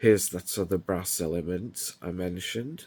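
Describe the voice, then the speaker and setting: This man speaks with a very deep, low pitch. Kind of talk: casual product show-and-tell. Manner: slow.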